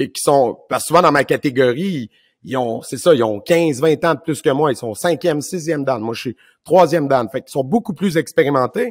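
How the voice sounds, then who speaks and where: A man's lively intonation at a fairly quick pace, dry and close with no echo, on a very clean recording with a silent background. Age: 40s. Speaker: martial arts instructor and podcast host. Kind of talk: casual conversation.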